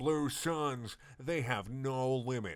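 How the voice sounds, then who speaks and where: A man puts on a character voice at a medium pitch. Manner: dramatic, fierce.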